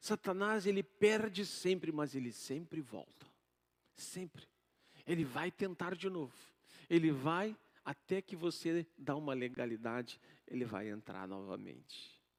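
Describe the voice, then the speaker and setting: A man's fairly high voice at a fairly slow pace, with very wide pitch swings and a dry, close sound with no echo. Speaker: pastor. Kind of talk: sermon. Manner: soft-spoken.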